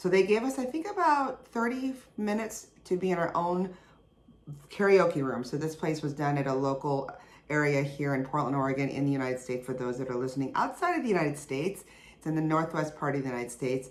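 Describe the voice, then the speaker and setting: A woman at a very fast pace, with a very deep, low pitch and very wide pitch swings. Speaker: podcast host. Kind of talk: casual podcast monologue.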